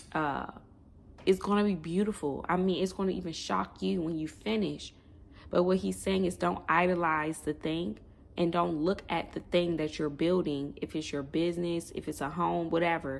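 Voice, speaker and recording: At a moderate pace, a woman with a fairly low pitch and ordinary pitch variation talks in a normal speaking voice. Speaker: online prophetic minister. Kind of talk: prophetic word monologue.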